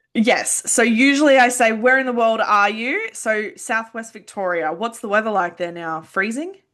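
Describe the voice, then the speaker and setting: Against a quiet background, a woman with an Australian accent speaks in a fairly high voice at a moderate pace. Her intonation is lively, and she hardly pauses. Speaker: podcast host and counsellor. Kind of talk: interview.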